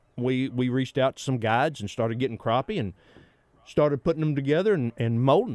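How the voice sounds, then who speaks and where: Against a quiet background, a man with a Southern US accent talks at a medium pitch with ordinary pitch variation, the sound dry and close with no echo. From Arkansas. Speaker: taxidermist. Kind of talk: casual chat. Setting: studio.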